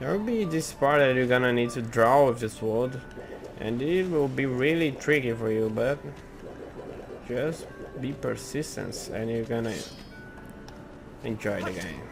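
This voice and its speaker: A man with a non-native accent at a fairly slow pace, with long, frequent pauses, audible room echo and music in the background. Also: medium pitch for a man, ordinary pitch variation. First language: not English. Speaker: gaming tutorial youtuber. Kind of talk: tutorial. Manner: halting, with repeated words.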